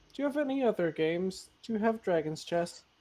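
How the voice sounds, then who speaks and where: This is a put-on character voice. It sounds female, with medium pitch. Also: fairly quick pace. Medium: actual play.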